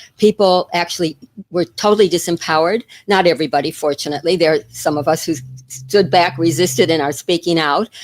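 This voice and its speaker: Over music in the background, a woman with an American accent talks at a very fast pace in a fairly low pitch with ordinary pitch variation, the sound dry and close with no echo. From United States. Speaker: retired teacher and wellness advocate. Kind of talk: interview.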